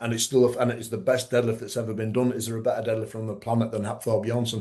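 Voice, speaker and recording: This is a man speaking. He has a Yorkshire accent. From Yorkshire, northern England. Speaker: strongman referee and former competitor. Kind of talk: casual interview chat. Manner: halting, many repetitions and fillers.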